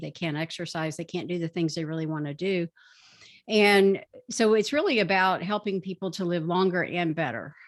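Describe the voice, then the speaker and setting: Against a quiet background, a woman talks in a normal speaking voice at a fairly quick pace. Her pitch is fairly low, with ordinary pitch variation. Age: 60s. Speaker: doctor. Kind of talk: interview.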